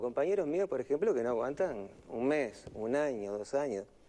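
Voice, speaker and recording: Here a man has a dark, mellow tone and a medium pitch. He moves at a moderate pace with lively intonation. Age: 60s. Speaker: night-shift driver. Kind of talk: casual chat. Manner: halting.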